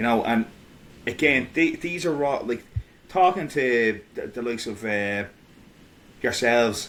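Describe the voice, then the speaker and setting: Speaking with an Irish accent, a man with a medium pitch uses lively intonation at a fairly slow pace, with long, frequent pauses. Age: 30s. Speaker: independent history researcher. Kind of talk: casual podcast conversation. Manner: halting, many fillers and restarts.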